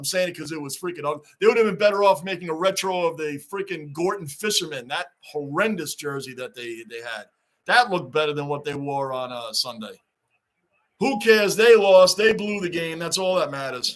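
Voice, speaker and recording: With an American accent, a man speaks at a fairly quick pace and a high pitch, his intonation lively and his loudness swinging widely. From Long Island, New York. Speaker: YouTube live streamer, hockey fan. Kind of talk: live-stream watch-along chat. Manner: animated.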